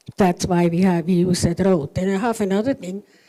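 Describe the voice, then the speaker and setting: This woman has a non-native accent and a dark, mellow tone, with ordinary pitch variation. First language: not English. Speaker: resident speaking at public meeting. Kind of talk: public comment at council meeting. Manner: halting.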